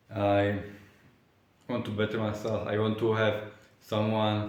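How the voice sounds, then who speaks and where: A man with a non-native accent speaks at a very slow pace and a fairly low pitch, pausing long and often. His intonation is monotone and flat, and audible room echo surrounds him. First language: not English. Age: 20s. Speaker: vlogger. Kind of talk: casual vlog monologue. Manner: halting, many fillers and restarts.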